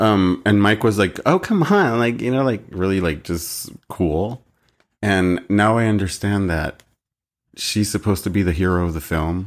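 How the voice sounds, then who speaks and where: The recording is very clean, and the background is silent. An unremarkable speaking voice goes at a moderate pace, its pitch variation ordinary. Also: man, fairly low pitch for a man. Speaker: podcast co-host. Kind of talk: casual chat.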